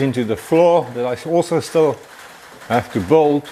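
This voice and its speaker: Against noticeable background noise, a man with a fairly high pitch talks at a fairly slow pace with lively intonation. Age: 60s. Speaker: car builder. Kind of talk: workshop build video.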